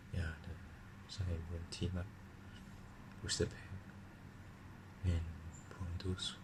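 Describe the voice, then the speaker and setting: A man whispers, somewhat breathy, at a fairly slow pace. Long, frequent pauses break up his speech. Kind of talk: ASMR card unboxing. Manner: whispered.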